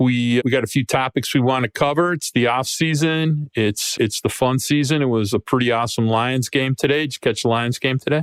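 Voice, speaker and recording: A man with an ordinary speaking voice talks at a fairly quick pace with hardly any pauses, medium pitch, ordinary pitch variation and very even loudness, the sound dry and close with no echo. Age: 60s. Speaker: sports podcast host. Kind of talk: casual podcast chat.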